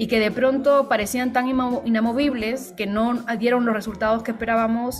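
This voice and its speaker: With hardly any pauses, a woman speaks at a moderate pace in a monotone, flat delivery, amid noticeable background noise and audible room echo. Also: fairly high pitch for a woman. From Peru. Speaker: writer and translator. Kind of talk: interview.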